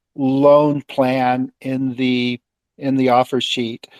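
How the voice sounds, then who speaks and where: A normal speaking voice with fairly even intonation comes through with a dry, close sound and no echo. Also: man. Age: 60s. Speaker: caller, crypto loan holder. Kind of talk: live audio Q&A. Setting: live audio room online.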